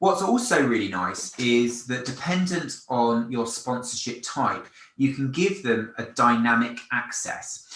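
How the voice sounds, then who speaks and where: A man with a London accent talks at a fairly slow pace and a medium pitch, with lively intonation and hardly any pauses. Room echo is audible. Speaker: event company presenter. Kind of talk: product demonstration. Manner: casual, with fillers and repetitions.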